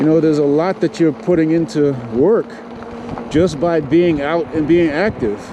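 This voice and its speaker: The tone is relaxed and the loudness very even, with noticeable background noise behind the speaker. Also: man, fairly high pitch for a man, ordinary pitch variation, moderate pace. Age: 50s. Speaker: e-bike reviewer. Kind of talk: casual ride-along commentary. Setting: outdoors on a bike trail. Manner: relaxed, conversational.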